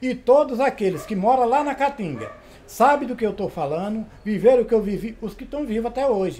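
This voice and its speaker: At a moderate pace, a man with a high voice and a dark, mellow tone speaks with lively intonation. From Brazil, Sergipe (Northeast). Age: 70s. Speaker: cordel poet and teacher. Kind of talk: interview testimony.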